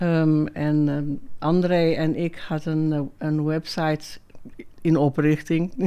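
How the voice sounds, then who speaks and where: A woman speaks at a very slow pace in a very deep, low voice with a dark, mellow tone. Her intonation is monotone and flat. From South Africa, Cape Town. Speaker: former fashion lecturer and designer. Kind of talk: interview. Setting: artist's studio. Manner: halting.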